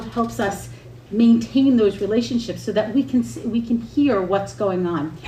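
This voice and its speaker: A woman's medium-pitched voice carries lively intonation at a fairly slow pace. Noticeable background noise is present. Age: 50s. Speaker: senior services nonprofit representative. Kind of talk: public presentation at town board meeting. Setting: town board meeting. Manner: halting.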